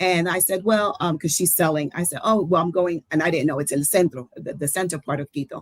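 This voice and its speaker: Speaking with an American accent, a woman talks at a very fast pace in a fairly low voice with ordinary pitch variation. The sound is dry and close, with no echo. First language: Spanish. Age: 60s. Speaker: traveler. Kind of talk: casual chat. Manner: animated.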